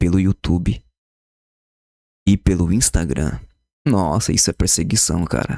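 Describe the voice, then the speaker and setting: In a very clean recording with a silent background and a dry, close sound with no echo, a man speaks quietly at a fairly slow pace in a very deep, low voice with vocal fry and lively intonation. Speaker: YouTuber commenting on news. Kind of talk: casual commentary. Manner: quiet, subdued volume.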